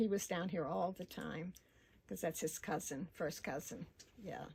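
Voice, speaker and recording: At a fairly slow pace, a woman speaks in a somewhat breathy voice with ordinary pitch variation. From Arkansas. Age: 80s+. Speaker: local resident interviewee. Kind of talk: oral history interview. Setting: at home.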